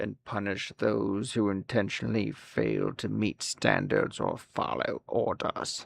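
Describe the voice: In a put-on character voice with a menacing tone, the speaker goes at a fairly slow pace with hardly any pauses, the sound dry and close with no echo. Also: man.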